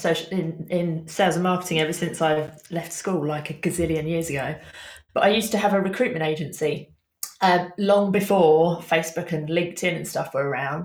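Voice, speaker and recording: At a moderate pace, a woman with a plain, everyday voice speaks in a fairly low pitch. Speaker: social media business coach. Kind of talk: casual interview chat.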